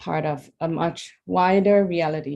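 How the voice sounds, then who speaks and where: Her voice is fairly low for a woman, with a dark, mellow tone. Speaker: youth member of a spiritual society. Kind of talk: personal sharing talk. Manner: halting, many fillers.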